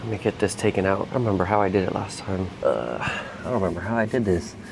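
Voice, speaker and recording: Noticeable background noise runs under a man's fairly low voice. He talks at a very fast pace with ordinary pitch variation. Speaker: HVAC technician. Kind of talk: work tutorial vlog. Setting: indoors in a quiet office building.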